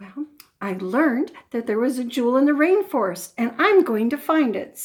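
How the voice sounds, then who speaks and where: A woman uses a put-on character voice at a high pitch. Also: moderate pace. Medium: read story.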